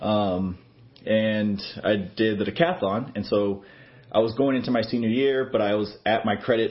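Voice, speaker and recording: Fairly low in pitch, a man with an American accent and an unremarkable speaking voice shows ordinary pitch variation. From Texas. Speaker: student pastor. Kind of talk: interview. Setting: office.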